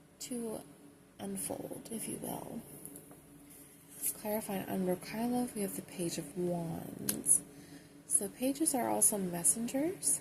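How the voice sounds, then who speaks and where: A soft-spoken woman talks at a very slow pace, with long, frequent pauses. Noticeable background noise is present. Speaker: tarot reader. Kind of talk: ASMR tarot reading.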